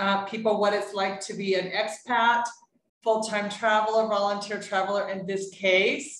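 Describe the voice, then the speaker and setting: Using an unremarkable speaking voice, a woman with a fairly high pitch speaks at a moderate pace. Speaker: podcast host. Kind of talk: interview host talk.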